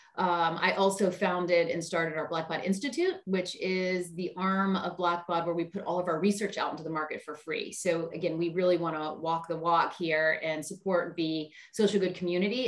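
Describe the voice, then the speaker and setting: A woman's fairly low voice with an American accent, moderate pace and fairly even intonation, over noticeable background noise. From US South, Charleston, South Carolina. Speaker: marketing executive. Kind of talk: interview. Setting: video call.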